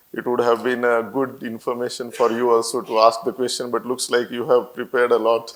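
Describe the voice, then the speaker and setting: A man with a Marathi accent talks at a fairly quick pace in a monotone, flat intonation, with hardly any pauses. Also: medium pitch for a man. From India, Marathwada region of Maharashtra (Parli). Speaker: company founder and CEO. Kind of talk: interview on stage. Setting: auditorium with student audience. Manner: hesitant, many fillers.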